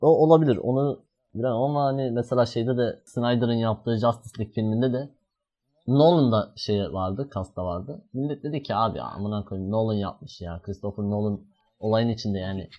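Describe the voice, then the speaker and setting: A man speaks in a normal speaking voice at a medium pitch. His pace is moderate and his pitch variation ordinary. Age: 20s. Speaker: podcast host. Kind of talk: casual chat.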